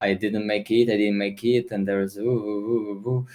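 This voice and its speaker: This speaker has a Russian accent and moves at a fairly quick pace. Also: man. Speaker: esports player and streamer. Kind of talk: interview. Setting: video call. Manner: halting.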